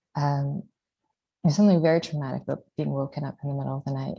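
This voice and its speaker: Soft-spoken and somewhat breathy, a woman talks in a dark, mellow tone with fairly even intonation against a quiet background. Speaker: mother living under rocket fire. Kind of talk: testimony.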